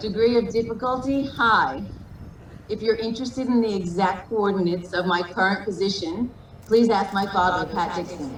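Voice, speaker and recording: With audible room echo and noticeable background noise, a woman talks at a medium pitch and moderate pace with ordinary pitch variation. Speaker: wedding officiant, sibling of the groom. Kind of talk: wedding ceremony address. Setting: video call.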